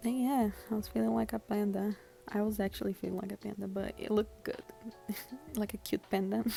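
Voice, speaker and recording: A woman speaks at a fairly quick pace with a non-native accent. Music plays in the background. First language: not English. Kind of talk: casual makeup tutorial voiceover.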